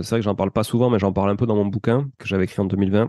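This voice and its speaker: A man speaks in a fairly low, dark, mellow voice with fairly even intonation. The sound is dry and close with no echo, over a quiet background. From southern France, Toulouse. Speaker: real estate investor and podcaster. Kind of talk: interview. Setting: podcast. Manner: fast.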